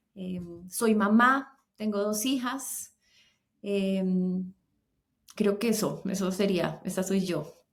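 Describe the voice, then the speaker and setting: Somewhat breathy, a woman at medium pitch speaks very slowly with fairly even intonation. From Colombia. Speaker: singer and voice teacher. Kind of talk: interview conversation.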